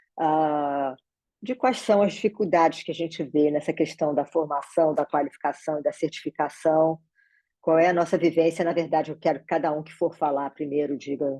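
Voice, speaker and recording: Over a quiet background, a woman speaks at a moderate pace with a very deep, low pitch, a dark, mellow tone and ordinary pitch variation. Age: 60s. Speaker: meeting facilitator. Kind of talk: online meeting moderation. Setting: video call from home office.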